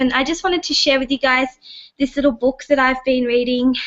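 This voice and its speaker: A high-voiced woman with an Australian accent, music playing in the background. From Australia, Sydney. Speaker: online business member. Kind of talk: casual group video chat.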